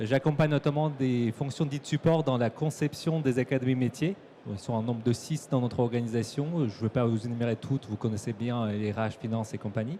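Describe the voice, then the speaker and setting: This man's medium-pitched voice has a dark, mellow tone, ordinary pitch variation and a fairly quick pace. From Kyrgyzstan. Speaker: corporate learning and development manager. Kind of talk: conference talk. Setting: stage with audience at trade show.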